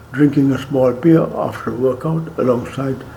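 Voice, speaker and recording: A man at medium pitch and moderate pace, fairly even in intonation, over noticeable background noise. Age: 90s. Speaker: doctor. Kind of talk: health talk.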